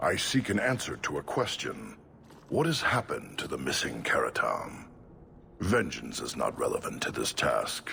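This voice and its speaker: Clear background noise behind a man doing a put-on character voice, his pace moderate. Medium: video game. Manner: flat, formal.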